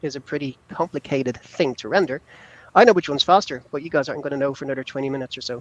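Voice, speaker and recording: Very fast speech with big swings in loudness and ordinary pitch variation, in a dry, close sound with no echo. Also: man, fairly high pitch for a man. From Ireland. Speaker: software company founder. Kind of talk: technical presentation on a livestream.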